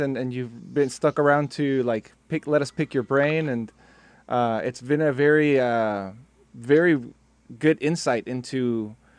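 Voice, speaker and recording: In an American accent, a man talks at a fairly high pitch with ordinary pitch variation. The recording is dry, with no echo. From South Texas and Mexico. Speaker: music software trainer, meetup co-host. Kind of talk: casual online meetup chat. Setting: video call. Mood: friendly, appreciative. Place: home room.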